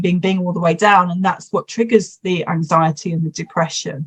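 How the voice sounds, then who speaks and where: A woman's somewhat breathy voice, fairly low in pitch, at a moderate pace with fairly even intonation. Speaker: hypnotherapist. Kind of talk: interview.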